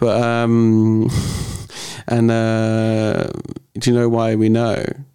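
Over noticeable background noise and audible room echo, a man talks at a very slow pace in a monotone, flat intonation, with long, frequent pauses. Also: very even loudness. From southern England. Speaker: performance artist. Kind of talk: casual chat. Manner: halting.

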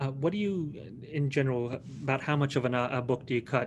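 Somewhat breathy, a man at a medium pitch speaks at a fairly quick pace. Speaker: librarian. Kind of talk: interview. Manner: halting.

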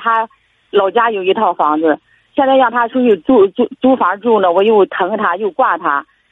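A woman speaks at a moderate pace. Her fairly high pitch shows ordinary variation. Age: 60s. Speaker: retired caller seeking advice. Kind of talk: phone-in advice call. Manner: halting.

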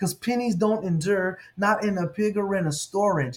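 Over music in the background, a man talks at a moderate pace, high-pitched, with ordinary pitch variation. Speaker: podcast host and Bible scholar. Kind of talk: poet spoken word. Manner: rhythmic, rhyming delivery with punchy end-rhymes, like a slam poet.

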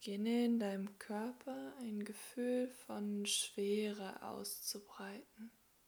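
A calm, soothing voice speaks at a very slow pace with hardly any pauses over noticeable background noise. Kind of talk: guided meditation (yoga nidra). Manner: slow, soft, calm and soothing, with long pauses; gentle, unhurried, coaxing.

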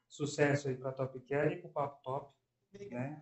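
Pitched at a medium level, a man talks in a plain, everyday voice. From interior of São Paulo state, Brazil. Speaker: pharmacist. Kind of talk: podcast interview.

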